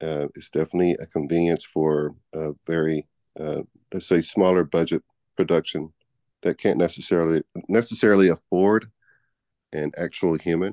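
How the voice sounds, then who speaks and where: A man with an American accent talks at a moderate pace in a very deep, low pitch, his tone dark and mellow, his intonation fairly even. The background is quiet, and the sound is dry and close with no echo. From Texas, Houston. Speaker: actor and voice actor. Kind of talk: radio interview.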